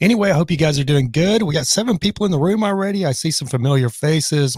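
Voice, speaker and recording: A man's somewhat breathy voice with lively intonation, dry and close with no echo. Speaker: live stream host. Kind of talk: live stream chat. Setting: live stream. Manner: halting, rusty.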